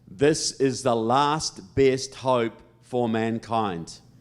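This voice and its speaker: A man speaks at a medium pitch with a New Zealand accent and ordinary pitch variation. The recording is very clean, with a silent background. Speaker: political speaker. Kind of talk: public speech. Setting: stage with audience.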